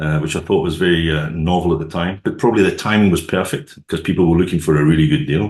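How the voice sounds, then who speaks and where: This man has a very deep, low pitch and a Scottish accent. He talks very fast with fairly even intonation. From Scotland. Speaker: sales and marketing executive. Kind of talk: podcast interview.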